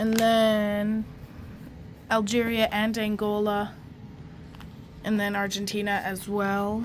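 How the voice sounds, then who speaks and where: At a very slow pace with long, frequent pauses, a woman speaks in a flat monotone at medium pitch, with audible room echo. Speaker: banknote collector YouTuber. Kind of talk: casual show-and-tell video. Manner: hesitant, many fillers.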